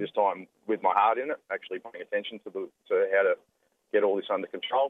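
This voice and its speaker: A man with an Australian accent, very fast pace and big swings in loudness. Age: 20s. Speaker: former domestic abuser. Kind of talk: testimony. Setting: phone call.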